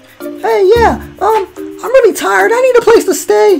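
This put-on character voice, with vocal fry and a slightly mellow tone, moves at a fairly slow pace with lively intonation while faint music plays in the background.

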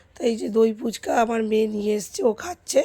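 A woman speaks in a fairly high voice. Her tone is dark and mellow. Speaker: vlogger. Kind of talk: casual vlog narration. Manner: chatty.

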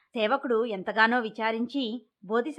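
Over a quiet backdrop, a passage is read aloud in a natural voice.

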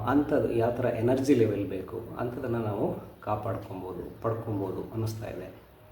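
A man's medium-pitched voice with ordinary pitch variation, amid audible room echo and noticeable background noise. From southern Karnataka, India (Kollegal, Chamarajanagar). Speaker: IT project manager and lifestyle coach. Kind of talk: self-introduction to camera. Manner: halting.

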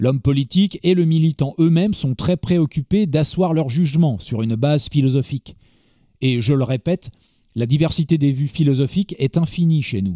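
Dark and mellow in tone, a man's fairly high voice moves at a moderate pace. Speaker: audiobook narrator. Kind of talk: literary audiobook reading of a 1920 essay. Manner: measured, grave, formal.

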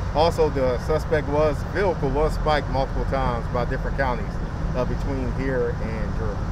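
This man talks fairly quickly, his voice dry with no echo, while loud noise fills the background. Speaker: police spokesperson. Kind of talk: press briefing answers. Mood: calm, measured, official. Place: street. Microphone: handheld.

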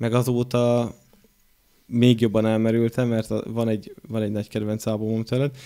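The tone is dark and mellow, delivered at a moderate pace in a flat monotone. The background is quiet. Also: man, medium pitch for a man. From Hungary, Borsod; Hungary. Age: 30s. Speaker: podcast host. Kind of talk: casual chat. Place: studio. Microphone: studio mic.

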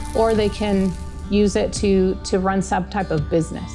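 Clear background music behind a woman talking at a moderate pace. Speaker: agriculture mechanics teacher. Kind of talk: interview answer. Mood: warm, enthusiastic. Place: workshop.

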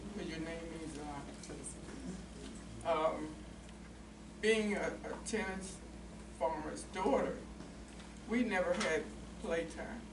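A woman with an American accent speaks at a very slow pace, with long, frequent pauses and noticeable background noise. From West Virginia. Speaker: panelist. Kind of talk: panel discussion, personal recollection. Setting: stage with audience, microphone. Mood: reflective, calm. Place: meeting room. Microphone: camera far.

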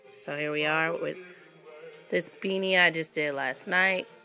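Over faint background music, a woman with a very deep, low pitch talks with fairly even intonation. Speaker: crocheter. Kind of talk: casual talk to camera. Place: home room. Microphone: phone near.

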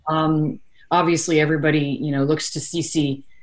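Words come at a moderate pace. The background is quiet. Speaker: volleyball head coach. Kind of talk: interview answer. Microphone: video call.

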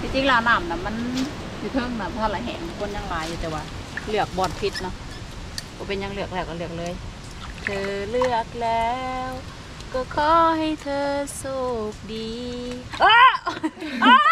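Noticeable background noise surrounds a woman's voice, which sounds dry with no echo. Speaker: rural vlogger. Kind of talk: casual vlog chat. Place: open country. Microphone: phone near.

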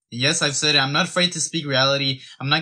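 The voice has a bright, sharp tone and a very fast pace against a quiet background. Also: man. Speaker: fitness content creator. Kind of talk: opinion rant to camera. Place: home room. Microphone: phone near.

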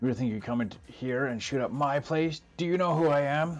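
A man puts on a booming character voice at a fairly high pitch. He talks at a moderate pace. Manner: manic, booming.

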